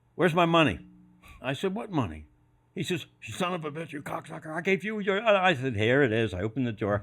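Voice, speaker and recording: Recorded very cleanly against a silent background, a man with an American accent talks at a fairly quick pace with vocal fry. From Philadelphia. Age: 80s+. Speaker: retired sports executive. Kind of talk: storytelling interview. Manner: animated.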